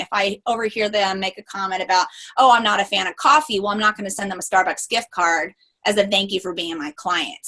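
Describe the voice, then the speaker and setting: A woman speaks at a fairly quick pace. Her tone is bright and sharp. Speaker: lawyer and photographer, business consultant. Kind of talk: interview. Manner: fast.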